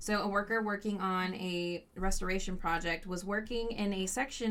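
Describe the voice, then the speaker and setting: A bright, sharp tone comes at a moderate pace with fairly even intonation. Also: woman. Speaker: podcast co-host. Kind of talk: casual chat, storytelling about haunted history. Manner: casual with many fillers.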